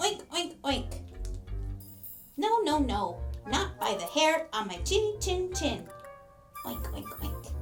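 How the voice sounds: Over clear background music, a put-on character voice speaks at a fairly slow pace with long, frequent pauses.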